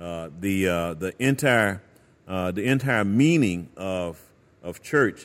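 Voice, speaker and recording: Speaking very slowly in a very deep, low voice, a man with an American accent uses lively intonation. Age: 60s. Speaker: pastor. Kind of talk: casual chat.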